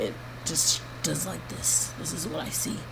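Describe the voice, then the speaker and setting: A woman talks at a fairly slow pace. Her voice carries audible room echo over noticeable background noise. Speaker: vlogger giving health update. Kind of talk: video diary. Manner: halting.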